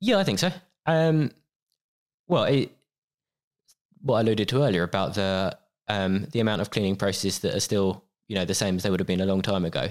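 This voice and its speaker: This man has a fairly low pitch and lively intonation, speaking at a fairly quick pace with very even loudness. He leaves long, frequent pauses. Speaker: managing director of a janitorial supply company. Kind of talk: interview conversation.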